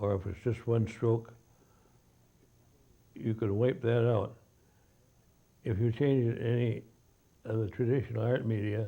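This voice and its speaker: This man has an American accent and a medium pitch, with a dark, mellow, somewhat breathy tone. He talks at a fairly slow pace with fairly even intonation and long, frequent pauses. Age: 80s+. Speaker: author and illustrator. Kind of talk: interview answer.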